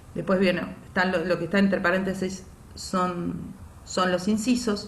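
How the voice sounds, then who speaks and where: Amid noticeable background noise and audible room echo, a woman speaks at medium pitch and a fairly slow pace, her intonation monotone and flat and her loudness very even. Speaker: teacher. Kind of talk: online lecture.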